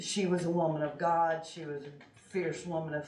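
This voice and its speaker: In an American accent, a woman with a fairly low pitch speaks with fairly even intonation amid audible room echo. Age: 60s. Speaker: public commenter at county meeting. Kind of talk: public comment. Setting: county commissioners meeting.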